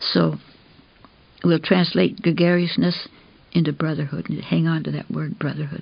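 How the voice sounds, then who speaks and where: With a very deep, low pitch, a woman talks at a moderate pace with vocal fry, ordinary pitch variation, and long, frequent pauses. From Canada. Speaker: environmental activist. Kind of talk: recorded talk.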